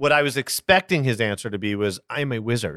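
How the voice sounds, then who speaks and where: Bright and sharp in tone, a man's medium-pitched voice moves at a fairly quick pace with lively intonation, the sound dry and close with no echo. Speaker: actor and snack business founder. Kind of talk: casual interview chat. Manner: fast, talkative.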